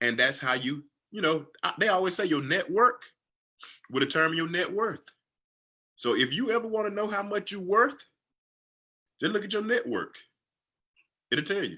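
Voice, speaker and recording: With a Southern US accent, a man speaks at a moderate pace in a raised, projected voice, his high pitch swinging very widely, his tone bright and sharp, and his pauses long and frequent. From US South, Georgia. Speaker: financial coach. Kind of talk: livestream chat.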